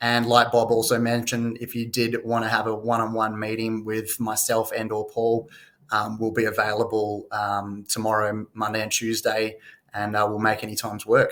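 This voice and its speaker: With an Australian accent, a man talks at a moderate pace and medium pitch in monotone, flat intonation. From Western Australia, Perth. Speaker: mining company CEO. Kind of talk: investor presentation. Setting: live online conference. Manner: frequent fillers (uh, um).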